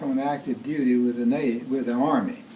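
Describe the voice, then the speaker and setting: Audible echo fills the room. A man talks at a moderate speed, his intonation lively. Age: 80s+. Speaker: family elder telling life story. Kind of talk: birthday speech, personal storytelling. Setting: home gathering with family audience. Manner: halting, repeats words.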